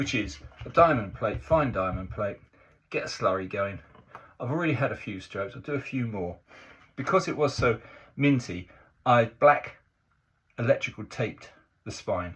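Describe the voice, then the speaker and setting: A man's voice makes very wide pitch swings, broken by long, frequent pauses. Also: medium pitch for a man, moderate pace. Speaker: razor honing hobbyist. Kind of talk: tutorial demonstration. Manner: casual, halting.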